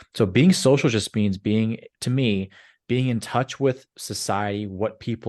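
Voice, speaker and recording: Against a quiet background, a man with a normal speaking voice and fairly low pitch talks at a moderate pace with fairly even intonation. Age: 30s. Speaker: commercial real estate investor, former sales professional. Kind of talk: podcast interview. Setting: virtual studio.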